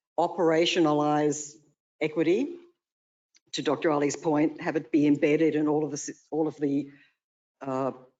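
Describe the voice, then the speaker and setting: Speaking at a moderate pace with an Australian accent, the voice leaves long, frequent pauses. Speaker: consultant presenting to city commission. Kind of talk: presentation at public meeting. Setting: city commission meeting.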